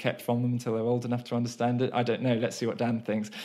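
A man's medium-pitched, monotone voice with flat intonation, on a very clean recording with a silent background. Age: 30s. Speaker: podcast host. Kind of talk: casual chat.

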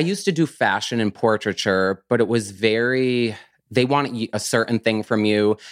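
A man with an American accent and a plain, everyday voice, medium in pitch with ordinary pitch variation, at a fairly slow pace, in a very clean, silent recording with dry, close sound and no echo. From US countryside. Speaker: plant grower and business owner. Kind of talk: casual interview.

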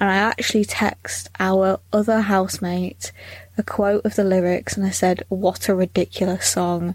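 At a moderate pace, a woman with a British accent speaks at a medium pitch with monotone, flat intonation and very even loudness. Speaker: podcast host. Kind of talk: casual chat, comedy podcast.

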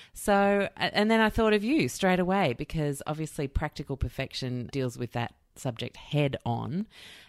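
A woman's very deep, low voice with very wide pitch swings, at a moderate pace with hardly any pauses, on a very clean, dry, close recording with no echo and a silent background. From outside Australia. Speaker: podcast host. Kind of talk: casual chat.

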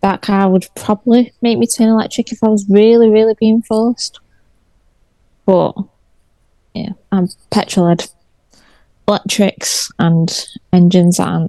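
A woman's medium-pitched voice with a dark, mellow tone, fairly even intonation, a fairly slow pace and long, frequent pauses, in dry, close sound with no echo. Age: 30s. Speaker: car content creator. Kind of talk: casual chat.

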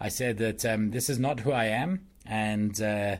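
A man with an unremarkable speaking voice, fairly low pitch and ordinary pitch variation, in a very clean recording with a silent background. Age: 40s. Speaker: presentation consultant. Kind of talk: casual chat.

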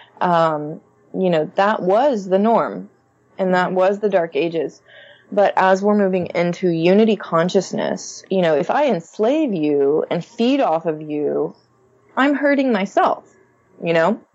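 A plain, everyday voice: a woman with an American accent, medium pitch, lively intonation and a fairly slow pace. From Texas, Conroe north of Houston. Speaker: astrologer and spiritual guide. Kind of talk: interview.

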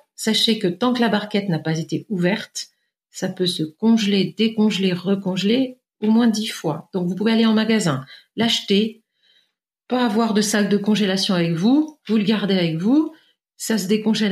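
Somewhat breathy, a woman speaks at a medium pitch and moderate pace with ordinary pitch variation. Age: 50s. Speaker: naturopath. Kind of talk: interview.

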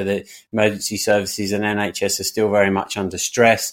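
Here a man speaks in a British accent at a moderate pace. His pitch sits fairly low. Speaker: podcast host. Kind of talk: casual interview. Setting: remote call.

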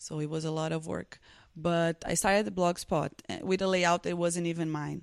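A woman speaks with a Portuguese accent at a moderate pace. Her pitch is fairly low, and the background is quiet. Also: fairly even intonation. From Brazil, Recife (northeast). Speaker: fashion influencer. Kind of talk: interview. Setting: conference in Sao Paulo.

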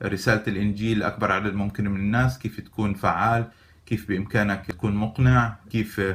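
This man's voice sits fairly low and stays monotone, with flat intonation. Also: moderate pace. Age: 40s. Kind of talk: tutorial.

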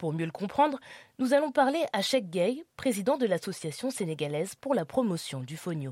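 A woman's medium-pitched voice with very wide pitch swings on a very clean recording against a silent background. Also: moderate pace. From France, Lyon. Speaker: podcast host. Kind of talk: scripted narration.

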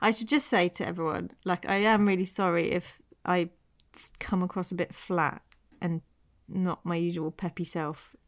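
A woman with a West Country accent speaks at a moderate pace and a fairly low pitch, her intonation fairly even. The recording is very clean with a silent background and a dry, close sound with no echo. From Devon, England. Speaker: podcast co-host. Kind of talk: casual conversational chat.

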